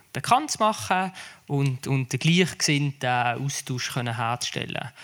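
A very clean, silent-backed recording of a man with lively intonation. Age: 30s. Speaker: cryonics association board member. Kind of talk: panel discussion.

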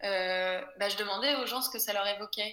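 A woman's medium-pitched voice, bright and sharp in tone, at a fairly slow pace with ordinary pitch variation. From Brittany, France. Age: 20s. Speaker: small business founder. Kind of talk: casual interview. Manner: hesitant, many fillers.

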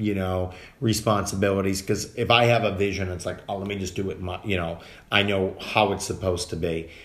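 The speech is fairly quick, in an American accent, with monotone, flat intonation. Audible room echo surrounds it. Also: man, fairly low pitch for a man. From Massachusetts (Dedham, Boston area). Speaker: actor. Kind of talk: casual chat.

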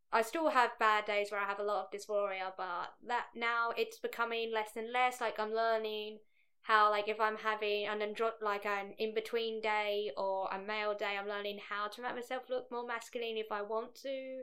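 Quiet and bright, sharp in tone, a woman speaks at a moderate pace in a fairly high pitch with monotone, flat intonation and hardly any pauses. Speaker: guest. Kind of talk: casual interview chat.

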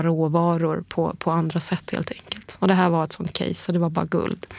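A woman with an unremarkable speaking voice talks at a moderate pace in a fairly low pitch. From Germany and Greece. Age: 40s. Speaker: biotech entrepreneur. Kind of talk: casual interview.

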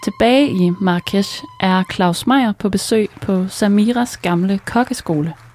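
A woman at a very slow pace, with ordinary pitch variation, hardly any pauses, and music in the background. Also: medium pitch for a woman. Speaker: podcast host. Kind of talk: scripted narration.

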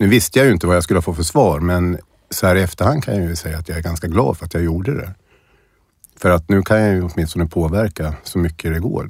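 Over a very clean recording with a silent background, a man with a very deep, low pitch talks at a very fast pace with ordinary pitch variation. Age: 50s. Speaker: person with early-onset Alzheimer's. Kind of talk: personal interview, testimony. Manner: halting, many repetitions and fillers.

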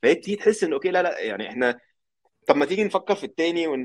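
Words pour out of a man at a very fast pace. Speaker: software engineer. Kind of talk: casual chat.

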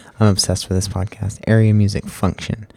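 Somewhat breathy and fairly low in pitch, a man's voice has a dark, mellow tone and flat, monotone intonation. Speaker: solo podcaster. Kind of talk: casual monologue. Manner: halting, many fillers.

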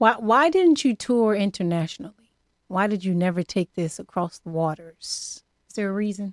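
An unremarkable speaking voice with an American accent moves at a moderate pace with lively intonation, recorded dry and close with no echo on a very clean recording with a silent background. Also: woman, medium pitch for a woman. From Los Angeles area, California. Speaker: podcast host. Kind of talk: casual interview chat. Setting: studio.

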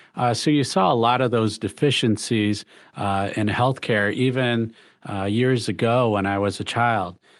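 Against a quiet background, a man with an unremarkable speaking voice talks in a medium pitch with an American accent. He goes at a fairly slow pace with fairly even intonation. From Michigan, the Thumb region. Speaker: hospital CEO and physician. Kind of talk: interview. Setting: video call.

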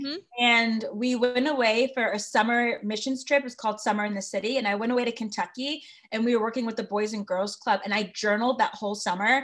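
A woman with an American accent uses an ordinary speaking voice, fairly high in pitch with ordinary variation. She talks at a fairly quick pace, and the recording is very clean with a silent background. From Connecticut. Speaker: communications director of advocacy group. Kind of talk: interview.

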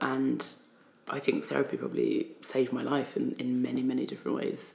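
A woman speaks with a Geordie accent. Her pace is moderate. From northern England, Newcastle upon Tyne. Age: 30s. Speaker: poet and spoken word artist. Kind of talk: casual chat. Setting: office.

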